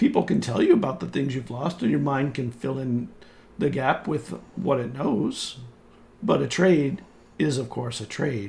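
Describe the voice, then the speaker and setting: Putting on a raspy character voice, a man speaks at a medium pitch and a moderate pace with lively intonation. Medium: actual play. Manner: calm, cryptic, dryly teasing.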